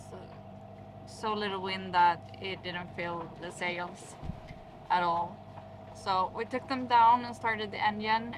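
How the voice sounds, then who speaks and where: Noticeable background noise sits under a woman's voice. She talks at a very slow pace with fairly even intonation. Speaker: sailing vlogger. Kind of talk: casual vlog chat. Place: boat. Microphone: phone near.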